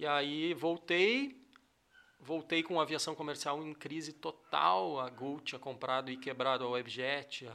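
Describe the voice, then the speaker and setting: A fairly high-pitched male voice with ordinary pitch variation, amid noticeable background noise. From southern Brazil, rural area near Cachoeira do Sul. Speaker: airline pilot and entrepreneur. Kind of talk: casual interview chat. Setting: studio.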